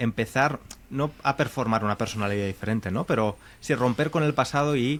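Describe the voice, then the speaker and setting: A plain, everyday voice goes at a fairly quick pace with ordinary pitch variation. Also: man, medium pitch for a man. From Valencia, Spain. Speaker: podcast host and Spanish teacher. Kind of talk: interview.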